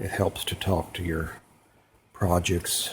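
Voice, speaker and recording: Very deep, low pitch from a man, somewhat breathy, in a monotone, flat intonation. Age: 60s. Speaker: sewing and embroidery tutorial maker. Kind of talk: tutorial; casual sign-off. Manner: casual, with many fillers.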